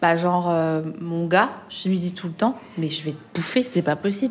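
The woman's voice is somewhat breathy. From eastern France, Alsace. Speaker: journalist and comedian. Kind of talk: casual chat. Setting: restaurant. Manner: animated.

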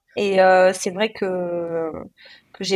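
This woman talks at a medium pitch with a flat, monotone delivery. The recording is very clean, with a silent background. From southwest France (Cahors, Lot). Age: 30s. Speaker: former elite swimmer and ocean paddler. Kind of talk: interview, personal storytelling. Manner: hesitant, many fillers.

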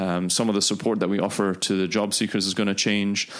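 Very deep and low, a man's voice stays monotone and flat on a very clean recording with a silent background. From Dubai, UAE. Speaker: startup CEO. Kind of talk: interview. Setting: office.

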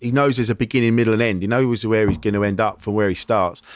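A man speaks at a very fast pace. His voice sits at a medium pitch. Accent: English. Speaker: podcast host and comedian. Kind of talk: casual chat. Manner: halting.

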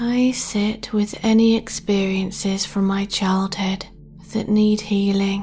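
Against noticeable background noise, a woman at medium pitch speaks very slowly in a gentle, soothing tone, with very even loudness and monotone, flat intonation. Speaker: sleep meditation guide. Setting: studio recording. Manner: slow, hushed and soothing, drawn-out countdown; gentle, nurturing, reassuring tone.

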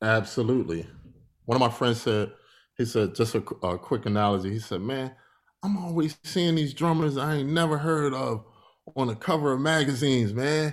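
A man speaks with an unremarkable speaking voice at a medium pitch. His intonation is lively and his pace is moderate. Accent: American. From Philadelphia, US. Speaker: musician and entrepreneur. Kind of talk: interview.

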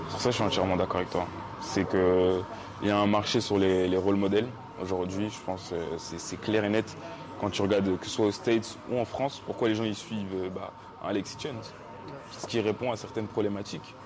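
A man speaks at a moderate pace in a flat, monotone delivery, with noticeable background noise behind him. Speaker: podcast host. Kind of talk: casual chat.

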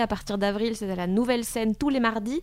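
On a very clean recording with a silent background, a woman's normal speaking voice, fairly high in pitch, with ordinary pitch variation and a moderate pace. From Belgium. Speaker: stand-up comedian and radio humorist. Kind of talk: casual chat.

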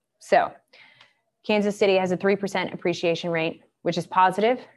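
A woman with an American accent talks at a fairly quick pace, broken by long, frequent pauses. Her pitch is medium, with ordinary variation. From US South, Atlanta, Georgia. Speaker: real estate investment advisor. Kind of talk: webinar presentation.

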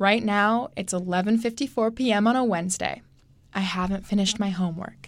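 A woman talks fairly quickly in a normal speaking voice. Her pitch sits in the medium range and her intonation stays fairly even. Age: 20s. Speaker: student radio host. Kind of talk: scripted radio hosting.

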